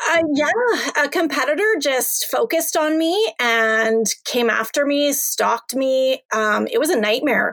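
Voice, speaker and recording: With a slight Canadian accent, a woman speaks at a fairly slow pace with hardly any pauses, her high pitch swinging very widely while her loudness stays very even. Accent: mild Canadian. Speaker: online seller. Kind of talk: interview.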